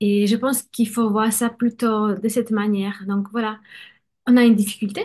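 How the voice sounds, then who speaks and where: Against a quiet background, a woman with a Polish accent speaks in a fairly high, somewhat breathy voice with monotone, flat intonation. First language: Polish (speaking French). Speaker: bilingual education coach. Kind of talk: conversational interview.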